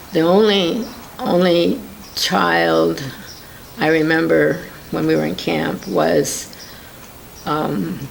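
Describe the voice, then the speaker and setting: A woman speaks at a very slow pace in an American accent, with long, frequent pauses. The room echo is audible, and there is noticeable background noise. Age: 70s. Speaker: interviewee recounting WWII internment. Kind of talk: oral history interview. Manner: halting.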